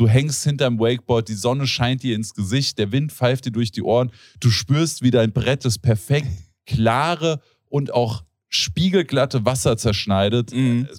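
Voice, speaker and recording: A plain, everyday voice from a man at medium pitch, fairly slow with ordinary pitch variation, on a very clean recording with a silent background. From Germany, Hesse (Rodgau). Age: 30s. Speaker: podcast host. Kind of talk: casual chat.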